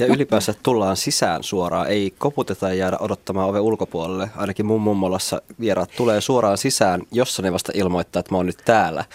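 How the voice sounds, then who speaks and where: Recorded dry and close with no echo, a man with an unremarkable speaking voice talks at a fairly quick pace and fairly low pitch, with fairly even intonation and hardly any pauses. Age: 20s. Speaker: young host of dinner parties. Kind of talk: radio panel discussion. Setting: studio.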